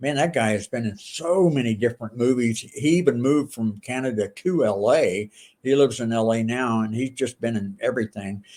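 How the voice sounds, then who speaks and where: A normal speaking voice at a fairly quick pace, with hardly any pauses and ordinary pitch variation. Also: man, medium pitch for a man. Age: 60s. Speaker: pastor and former pro wrestler. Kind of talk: casual chat. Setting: podcast interview.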